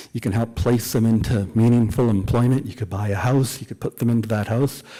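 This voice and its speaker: In a Canadian accent, a man speaks at medium pitch with a dark, mellow tone and fairly even intonation. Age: 60s. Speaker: author. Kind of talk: public talk at a book event.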